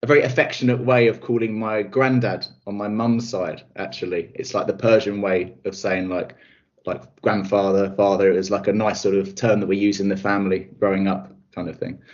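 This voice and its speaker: Speech moves at a fairly quick pace. It comes with a southern English accent. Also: man, fairly low pitch for a man. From south-east England (Kent). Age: 30s. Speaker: recruitment specialist and coach. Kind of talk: interview.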